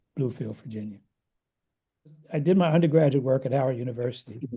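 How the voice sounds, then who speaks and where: Somewhat breathy and dark, mellow in tone, a man speaks with an American accent and fairly even intonation. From US Northeast, Philadelphia. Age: 70s. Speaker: economist and meditation teacher. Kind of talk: interview conversation.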